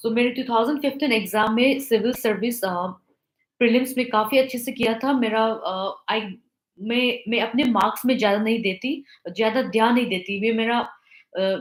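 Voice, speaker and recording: With a non-native accent, a woman talks in a fairly high pitch and fairly even intonation. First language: not Hindi (speaking Hindi). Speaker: civil service exam topper, officer. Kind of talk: talk to exam aspirants. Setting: live online interaction. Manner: halting, many fillers; mixes Hindi and English.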